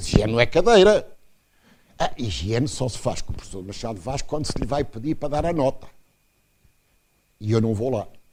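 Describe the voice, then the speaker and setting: With lively intonation, a man speaks somewhat breathily at a medium pitch and moderate pace, and audible room echo surrounds his voice. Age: 80s+. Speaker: professor. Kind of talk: lecture. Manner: animated.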